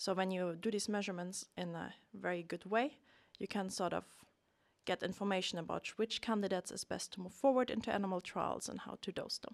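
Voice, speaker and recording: With a German accent, this voice moves at a fairly quick pace with fairly even intonation, its sound dry and close with no echo. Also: woman, medium pitch for a woman. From Germany. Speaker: research scientist. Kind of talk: interview.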